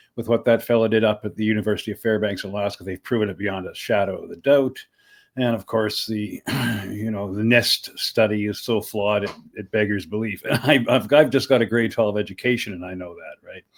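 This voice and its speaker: Here a man talks with a western Canadian accent at a fairly quick pace. His pitch is fairly low, and his loudness swings widely. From Canada, Saskatchewan (Saskatoon). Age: 60s. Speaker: podcaster and activist. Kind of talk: interview conversation. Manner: animated, with frequent repetitions and fillers.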